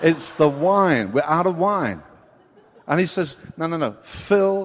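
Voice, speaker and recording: Fairly slow, animated delivery from a man with a fairly high pitch and lively intonation. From England. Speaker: preacher. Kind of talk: sermon.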